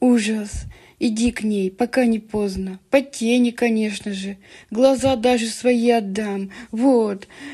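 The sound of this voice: Reading in an unforced voice.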